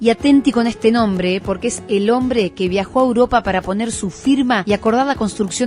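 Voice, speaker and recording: A woman's fairly high voice at a fairly quick pace, with music in the background. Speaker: radio/streaming host and professional announcer. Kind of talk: documentary-style regional travel narration to camera.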